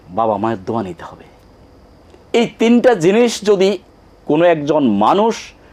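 Big swings in loudness and very wide pitch swings mark this man's high voice. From Bangladesh, Chandpur district (Hajiganj). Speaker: educationist and education entrepreneur. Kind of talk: TV interview. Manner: halting, with many pauses.

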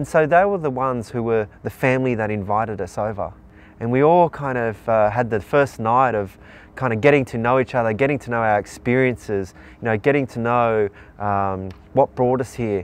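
The speaker is a man with a fairly quick pace. The sound is dry, with no echo. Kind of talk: interview answer. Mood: earnest, moved. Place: waterside. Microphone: lapel.

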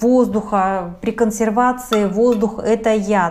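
Her intonation monotone and flat, a woman speaks with a warm tone at a fairly high pitch. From Siberia, Russia. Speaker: cooking video host. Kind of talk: cooking tutorial. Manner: warm, friendly address to viewers.

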